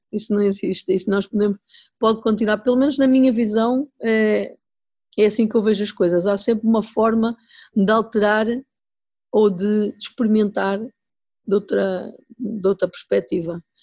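A woman with a dark, mellow tone speaks at a fairly high pitch, with fairly even intonation and very even loudness. She leaves long, frequent pauses against a quiet background. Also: moderate pace, dry, close sound with no echo. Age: 40s. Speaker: chef and restaurant owner. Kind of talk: interview conversation.

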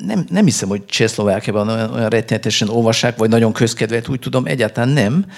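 Lively intonation marks a man's speech at medium pitch. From Hungary, Budapest. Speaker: novelist. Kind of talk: interview at a book festival. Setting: stage with audience. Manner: halting, many fillers and repetitions.

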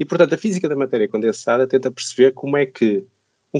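A man's fairly high voice, a normal speaking voice with ordinary pitch variation, dry, close sound with no echo and a quiet background. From northern Portugal, Braga. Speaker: physics professor. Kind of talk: podcast interview.

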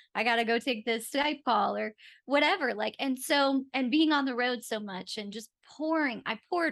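A woman with an American accent, a plain, everyday voice, ordinary pitch variation, quiet background. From US Northeast (Rochester, New York). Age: 40s. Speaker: branding entrepreneur. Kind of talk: interview. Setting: video call.

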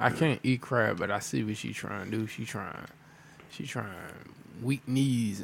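Vocal fry runs through this man's medium-pitched voice, which has ordinary pitch variation. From Prince George's County, Maryland. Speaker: podcast host. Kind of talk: casual chat. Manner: animated, laughing.

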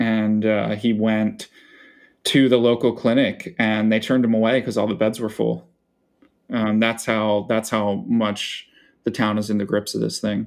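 In a Philadelphia accent, a man talks fairly slowly with a fairly low pitch and monotone, flat intonation, on a very clean recording with a silent background. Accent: Philadelphia-area American. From Philadelphia suburbs, Pennsylvania. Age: 20s. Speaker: writer. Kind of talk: casual interview.

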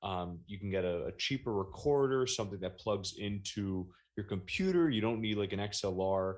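A man talks in a normal speaking voice, fairly low in pitch, with ordinary pitch variation. His pace is moderate, and the background is quiet. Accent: American. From New Jersey, Monmouth County. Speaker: meme page creator and podcaster. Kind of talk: casual interview chat.

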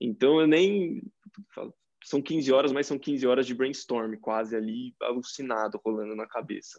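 A man's normal speaking voice, medium in pitch, fairly slow in pace, with ordinary pitch variation. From interior of São Paulo state, Brazil (Tietê). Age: 20s. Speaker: engineering student and growth marketer. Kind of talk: casual interview chat.

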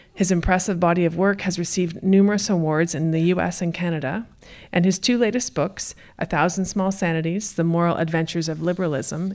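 In a plain, everyday voice, a woman speaks at a fairly low pitch with ordinary pitch variation, on a very clean recording with a silent background. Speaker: event director. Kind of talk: event introduction. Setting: stage with audience.

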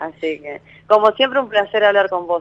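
A woman speaks at a moderate pace with lively intonation, her sound dry and close with no echo. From Argentina, Santa Fe. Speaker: caller, masseuse. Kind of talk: phone-in consultation. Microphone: too quiet.

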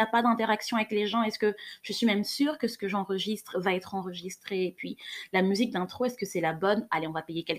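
Her pitch is medium and varies in an ordinary way. The woman talks very fast. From Cameroon. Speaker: podcast host, sexologist and psychologist. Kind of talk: solo podcast monologue. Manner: slightly trembling voice; animated.

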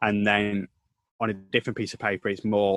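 A man with a northern English accent speaks at a moderate pace and a fairly low pitch, with a dry, close sound and no echo. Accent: regional northern English. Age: 20s. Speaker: sports reporter and commentator. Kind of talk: casual interview. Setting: video call.

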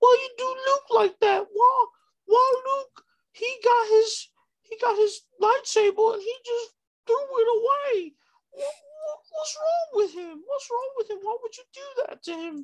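A put-on character voice at an extremely high pitch, fairly slow, with long, frequent pauses. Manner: mocking.

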